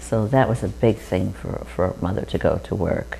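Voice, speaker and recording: A woman's voice with vocal fry. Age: 70s. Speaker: interviewee recalling childhood. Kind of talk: oral history interview.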